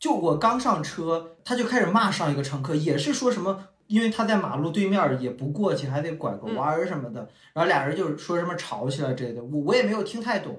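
A man's fairly quick delivery with very wide pitch swings. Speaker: podcast co-host. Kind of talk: casual chat.

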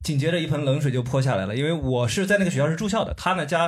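Noticeable background noise sits behind a man speaking at a very fast pace. His pitch is fairly high, with ordinary pitch variation. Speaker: podcaster. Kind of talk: casual chat. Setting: stage with audience.

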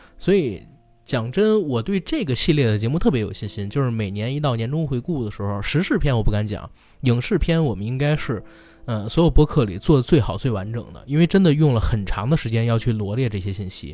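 With a dark, mellow tone and medium pitch, a man talks at a fairly quick pace, his intonation lively. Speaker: podcast host. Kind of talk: casual chat.

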